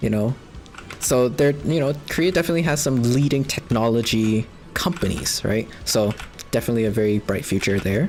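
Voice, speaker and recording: Someone with a Canadian accent talks at a fairly quick pace over noticeable background noise. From Canada. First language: Cantonese. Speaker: video game streamer. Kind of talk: casual chat. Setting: live stream. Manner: rambling, many fillers.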